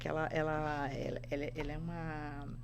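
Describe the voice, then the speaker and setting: A woman speaks with vocal fry, and audible room echo surrounds her voice. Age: 60s. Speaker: podcast guest, spiritual practitioner. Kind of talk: casual interview chat.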